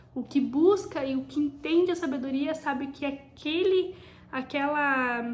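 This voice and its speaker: Speaking fairly slowly, a woman uses a high pitch. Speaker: devotional video host. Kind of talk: bible devotional teaching.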